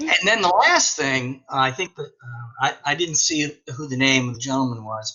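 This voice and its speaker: With an American accent and an ordinary speaking voice, a man speaks at a moderate pace and medium pitch, showing ordinary pitch variation and big swings in loudness. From northern US. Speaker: teacher. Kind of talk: casual discussion in a webinar.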